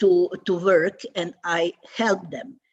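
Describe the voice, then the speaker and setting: A woman speaks with a Croatian accent. Her pitch is medium. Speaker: theatre institute president. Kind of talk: panel discussion. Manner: halting.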